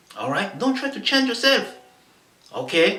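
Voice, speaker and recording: The speech, in a French accent, comes with audible room echo and noticeable background noise. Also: man. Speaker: motivational vlogger. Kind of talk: motivational talk to camera. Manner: halting, many fillers.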